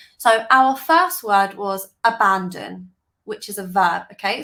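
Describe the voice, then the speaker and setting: A woman with a British accent speaks at a fairly slow pace in a bright, sharp tone with ordinary pitch variation. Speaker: English teacher. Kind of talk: tutorial.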